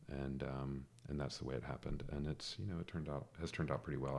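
In an American accent, a man with a very deep, low pitch and vocal fry talks at a very fast pace with ordinary pitch variation. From US South, metro Atlanta, Georgia. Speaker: urban designer. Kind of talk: casual interview.

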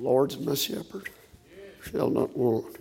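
A quiet, mumbling man in a put-on character voice, fairly high in pitch. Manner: muttering, mumbling quietly.

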